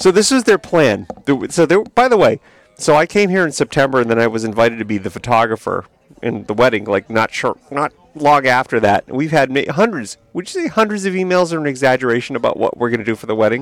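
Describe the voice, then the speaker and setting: A man with an American accent, fairly high in pitch with very wide pitch swings, at a very fast pace, in a dry, close sound with no echo. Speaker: podcast host. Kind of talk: casual chat. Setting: live from England.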